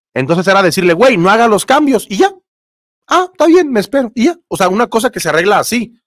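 Over a quiet background, a man talks very fast at a high pitch, his voice swinging very widely up and down. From Mexico. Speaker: sports YouTuber. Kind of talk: live stream chat. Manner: casual, conversational. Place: home room. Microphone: studio mic.

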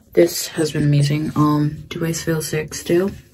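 Over light background noise, a woman speaks at a fairly slow pace in a very deep, low pitch. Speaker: vlogger. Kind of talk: casual vlog chat.

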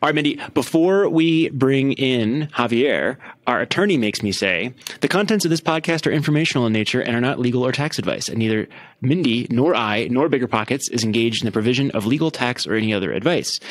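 Talking at a very fast pace, a man uses lively intonation. The background is quiet. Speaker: podcast host. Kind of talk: casual interview chat. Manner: enthusiastic; halting, repeats words. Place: home room. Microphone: studio mic.

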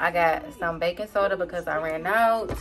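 Clear music plays in the background. Over it, a woman speaks at a fairly low pitch with ordinary pitch variation. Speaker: vlogger. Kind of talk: casual, slangy vernacular. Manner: casual, chatty. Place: home room. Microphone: phone near.

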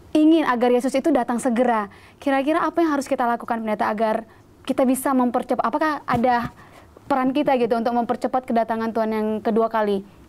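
The words come out at a very fast pace. Intonation stays fairly even. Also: woman. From Brastagi, North Sumatra, Indonesia; North Sumatra, Indonesia. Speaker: TV Bible study host. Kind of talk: religious TV discussion interview. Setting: studio. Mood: warm, friendly, smiling. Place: studio. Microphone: lapel.

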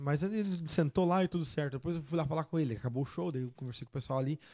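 A man with a fairly high pitch and a dark, mellow tone talks at a very fast pace with ordinary pitch variation over a quiet background. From southern Brazil, Rio Grande do Sul (Seberi); Rio Grande do Sul, Brazil. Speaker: sertanejo singer; podcast guest. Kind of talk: casual chat. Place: studio. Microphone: studio mic.

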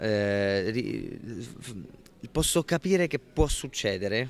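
A man's voice swings very widely in pitch. The sound is dry with no echo. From Italy, Abruzzo (Pescara); Abruzzo, Italy. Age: 20s. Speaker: actor. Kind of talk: interview. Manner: halting, many repetitions. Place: hall. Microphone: handheld.

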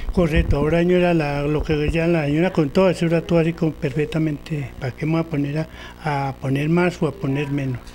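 Over light background noise, a man with a fairly high voice speaks at a fairly quick pace in a monotone, flat intonation, with hardly any pauses. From Colombia, Antioquia. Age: old. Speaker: elderly local resident; interviewee. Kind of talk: storytelling interview. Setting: in a home. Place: home room. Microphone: handheld.

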